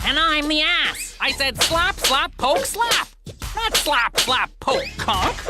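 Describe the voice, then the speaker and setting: Amid loud background noise, a cartoonish character voice drags along at a very slow pace. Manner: erratic, eccentric.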